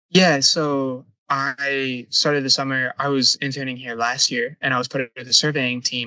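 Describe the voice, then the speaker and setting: This man speaks at a moderate pace. His intonation is monotone and flat. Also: medium pitch for a man, hardly any pauses. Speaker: surveying intern, university student. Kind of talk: casual interview. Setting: on a survey boat.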